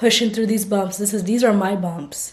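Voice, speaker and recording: Noticeable background noise and audible room echo surround a woman's medium-pitched voice. She speaks at a moderate pace with fairly even intonation. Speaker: speech-language pathologist vlogger. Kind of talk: casual vlog.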